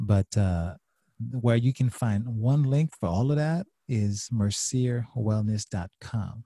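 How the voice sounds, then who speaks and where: Very clean with a silent background, the recording gives a dry, close sound with no echo as a man speaks at a very slow pace. His voice is somewhat breathy and dark and mellow in tone, medium in pitch with ordinary variation. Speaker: marriage and family therapist. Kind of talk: casual interview chat.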